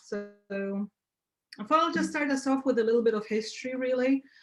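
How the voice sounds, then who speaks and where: A woman with a Polish accent. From Poland. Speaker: graphic designer. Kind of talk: guest talk on video call. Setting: video call. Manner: loud.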